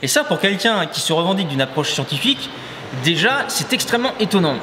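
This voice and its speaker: Very rapid male speech against noticeable noise in the background. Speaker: knife thrower, video creator. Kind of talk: reaction video commentary.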